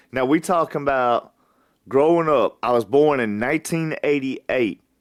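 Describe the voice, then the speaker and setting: On a very clean recording with a silent background and a dry, close sound with no echo, a man speaks at a moderate pace with a fairly high pitch and ordinary pitch variation. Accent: Alabama. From US South. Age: 30s. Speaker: podcast host. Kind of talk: personal storytelling monologue.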